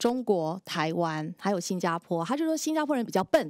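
A woman's voice at a moderate pace with very wide pitch swings, dry with no echo, over a quiet background. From Singapore. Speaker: radio host. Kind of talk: TV panel chat. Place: studio. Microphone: headset.

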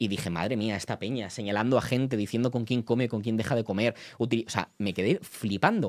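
An animated man speaking at a fairly quick pace against a quiet background. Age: 20s. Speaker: political journalist and streamer; political journalist, streamer. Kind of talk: live stream commentary. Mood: indignant, defensive. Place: home room. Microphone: studio mic.

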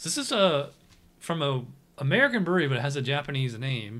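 A man speaks with ordinary pitch variation. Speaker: beer reviewer host. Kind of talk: casual review chat. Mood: relaxed, friendly. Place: home room. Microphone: studio mic.

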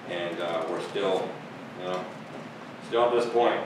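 A man talks at a fairly quick pace with ordinary pitch variation. Audible room echo and noticeable background noise surround his voice. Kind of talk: meeting remarks. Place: meeting room. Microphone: camera far.

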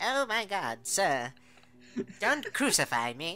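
A put-on character voice at a middle pitch moves fairly slowly through very wide pitch swings. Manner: panicked, pleading.

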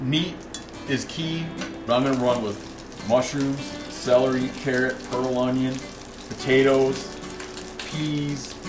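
Clear music sits in the background. A man speaks with ordinary pitch variation. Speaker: cooking show host. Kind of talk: tutorial. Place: kitchen.

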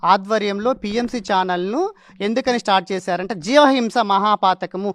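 The sound is dry and close, without any echo. A man talks in a high pitch, and his pitch varies in an ordinary way. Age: 30s. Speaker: meditation practitioner sharing healing story. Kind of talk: testimony.

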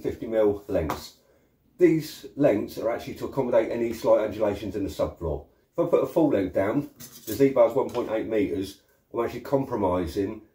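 Audible room echo around a man talking at a fairly quick pace. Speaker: flooring product demonstrator. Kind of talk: tutorial. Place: workshop.

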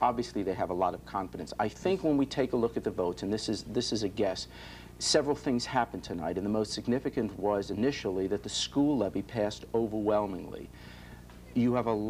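A man's fairly low voice with vocal fry, very fast pace and ordinary pitch variation, over light background noise. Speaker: news anchor interviewer. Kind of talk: interview question. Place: studio.

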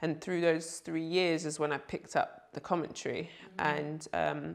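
In a London accent, a woman speaks at a moderate pace against a quiet background. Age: 30s. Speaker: basketball player and commentator; commentator. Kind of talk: interview answer. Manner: casual, light-hearted. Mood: relaxed, reflective. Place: home room.

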